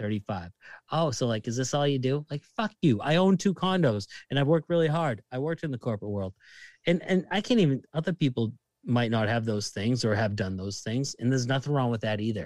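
A man at a medium pitch talks at a fairly quick pace with lively intonation, in a very clean recording with a silent background and a dry, close sound with no echo. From Massachusetts, Lynn (Boston area). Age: 30s. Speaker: bartender. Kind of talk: casual chat.

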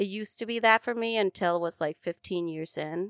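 In a very clean recording with a silent background and a dry, close sound with no echo, a woman speaks at medium pitch with ordinary pitch variation in an Upper Midwest accent. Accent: Upper Midwest American. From Minnesota. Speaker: podcast host. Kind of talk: casual interview. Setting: studio.

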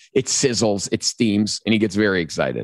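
Animated male speech with vocal fry at a fairly low pitch, in a dry, close sound with no echo. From Chicago. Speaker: chef and TV cooking host. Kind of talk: casual interview chat.

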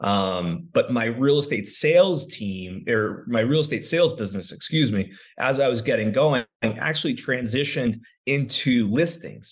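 A man talks at a moderate pace with lively intonation and medium pitch. It's an ordinary speaking voice, set against a quiet background. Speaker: real estate agent and property manager. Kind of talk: casual interview chat.

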